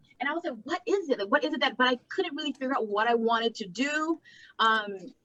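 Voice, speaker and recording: A raised, projected voice with an American accent, bright and sharp in tone, very fast and lively in intonation, in a dry, close recording with no echo. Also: woman, high pitch for a woman. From Laotian American. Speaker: content creator. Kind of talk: casual interview chat. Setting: live video chat. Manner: animated, filler-heavy casual speech.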